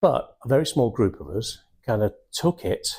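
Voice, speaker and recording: Somewhat breathy and dark, mellow in tone, a man with a Mancunian accent talks at a fairly slow pace with lively intonation. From Manchester, England (Wythenshawe). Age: 60s. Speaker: sales and recruitment trainer. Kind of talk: motivational talk. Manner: animated.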